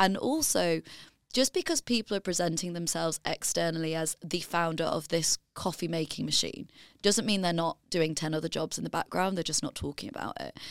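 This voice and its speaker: In a very clean recording with a silent background, a woman with a fairly low pitch and vocal fry talks at a fairly quick pace with ordinary pitch variation. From northern England, Leeds. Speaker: author and business founder. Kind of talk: podcast interview. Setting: studio.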